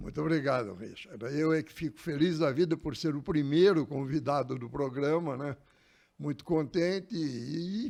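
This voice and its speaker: At a moderate pace, a man talks with lively intonation and a dark, mellow tone. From Brazil, Osasco (São Paulo). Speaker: longtime local resident. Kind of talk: interview.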